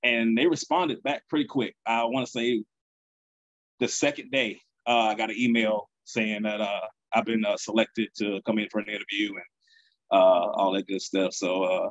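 Over a quiet background, a man talks at a moderate pace with ordinary pitch variation and long, frequent pauses. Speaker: podcast guest. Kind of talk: interview answer. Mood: relaxed, smiling storytelling. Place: home room. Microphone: video call.

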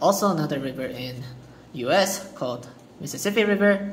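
A man speaks with a non-native accent and ordinary pitch variation. Light background noise is present. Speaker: student. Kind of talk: class presentation. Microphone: phone near.

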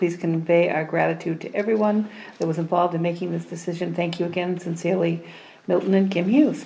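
A woman's fairly low-pitched voice at a very fast pace, fairly even in intonation, over light background noise. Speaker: town official. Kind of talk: town council meeting. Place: meeting room.

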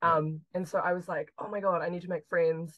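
A woman speaks in a New Zealand accent. The background is quiet. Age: 20s. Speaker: chemistry PhD student. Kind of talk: interview conversation. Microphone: video call.

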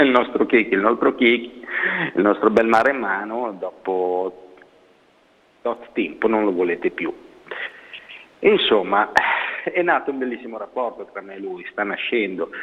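With long, frequent pauses, a man speaks at a moderate pace, showing ordinary pitch variation and big swings in loudness. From Milan province, Italy; Italy. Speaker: kennel worker; guest. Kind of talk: phone-in question. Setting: phone call. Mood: warm, amused. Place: studio.

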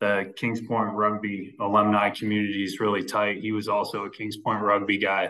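A man's fairly low, bright and sharp voice, monotone and flat, at a moderate pace against a quiet background. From western Massachusetts. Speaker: real estate investor and home builder; podcast guest. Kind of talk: interview conversation. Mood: relaxed, reflective. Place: office. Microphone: video call.

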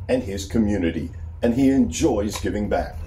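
Noticeable background noise fills the clip. Through it, a man's voice can be heard. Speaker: documentary narrator. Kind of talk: documentary narration.

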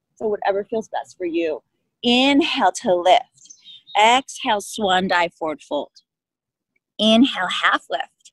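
With a calm, soothing tone and very wide pitch swings, the speech moves at a fairly slow pace with long, frequent pauses, in a dry sound with no echo over a quiet background. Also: woman. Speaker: yoga instructor. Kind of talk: guided yoga class, cueing poses and breath in a calm, steady, encouraging voice. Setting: outdoors at a park, online class. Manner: calm, soothing, unhurried, encouraging. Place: open country.

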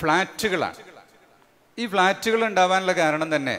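A man speaks in a high voice with a bright, sharp tone and ordinary pitch variation. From Kerala, India. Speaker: Islamic scholar and event organizer; speaker. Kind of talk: speech to a religious gathering. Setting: large marquee gathering. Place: stage. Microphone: podium.

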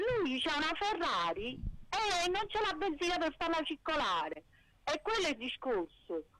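A woman's bright, sharp tone rises and falls in very wide pitch swings as she speaks at a fairly slow pace. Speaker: caller. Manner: animated.

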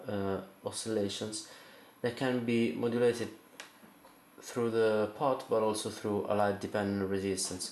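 A man with an Italian accent, fairly low in pitch, fairly slow, with fairly even intonation and audible room echo. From Italy. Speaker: circuit bender, instrument builder. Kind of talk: tutorial explanation to camera. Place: home room. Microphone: phone near.

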